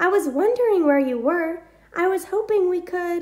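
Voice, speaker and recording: A woman does a squeaky put-on character voice at an extremely high pitch. Her pace stays moderate. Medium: read story.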